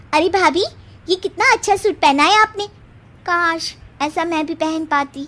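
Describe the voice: Putting on a cartoonish character voice, a woman speaks at an extremely high pitch and a moderate pace, with ordinary pitch variation and long, frequent pauses.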